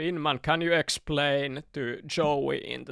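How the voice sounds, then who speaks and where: Recorded very cleanly against a silent background, a man talks at a very slow pace with a Finnish accent. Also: dry, close sound with no echo. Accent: Finnish accent, unmasked. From Finland. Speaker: gaming streamer. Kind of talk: live stream chat while working. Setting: live stream with chat. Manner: casual, halting with repetitions.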